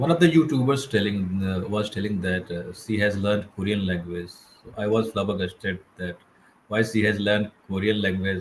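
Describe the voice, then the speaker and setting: With an Indian accent, a man talks at a moderate pace in a fairly low pitch with ordinary pitch variation, over noticeable background noise. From India, Madhya Pradesh. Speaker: English learner. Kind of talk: casual chat. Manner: halting.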